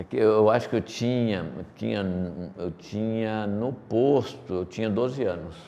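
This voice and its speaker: A man speaks at a fairly slow pace in a fairly low pitch, his tone dark and mellow. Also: ordinary pitch variation. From Brazil, Paraíba sertão (Pombal), moved to São Paulo as child. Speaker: company executive. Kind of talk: interview.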